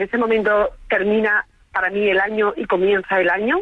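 At a moderate pace, a woman speaks at medium pitch with a fairly bright tone.

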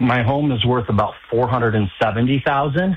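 A man's voice with a slightly husky edge and ordinary pitch variation. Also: medium pitch for a man, moderate pace.

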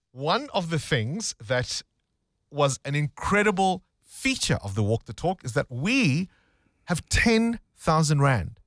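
Recorded very cleanly with a silent background and a dry, close sound with no echo, a man talks at a slow pace in a fairly high pitch with big pitch swings.

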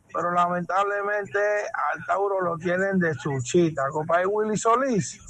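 Audible room echo surrounds a fairly bright tone. The pace is fairly slow, and the pitch varies in an ordinary way. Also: man, high pitch for a man.

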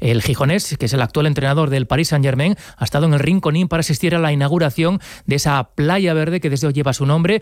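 A man talks fast in a fairly high voice, with few pauses and ordinary pitch variation.

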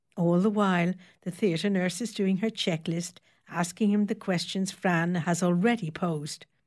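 With fairly even intonation, the recording is plain reading aloud.

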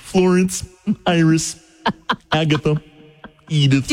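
A put-on character voice at a middle pitch, delivered at a fairly slow pace. Music plays in the background. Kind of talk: ceremonial, old-fashioned. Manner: solemn.

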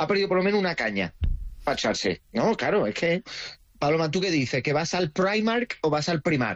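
A man speaks with an Andalusian accent at a fairly quick pace. His pitch swings widely. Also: fairly high pitch for a man.

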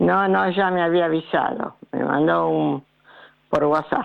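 A low-pitched woman with vocal fry at a fairly slow pace. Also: ordinary pitch variation.

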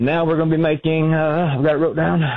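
Talking at a fast pace, a man keeps a fairly high pitch with little pitch movement.

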